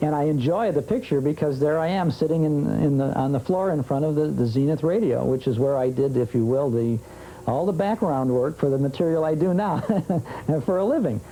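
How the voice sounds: A man with a dark, mellow tone speaks at a fairly high pitch and a moderate pace. His intonation is lively, with few pauses.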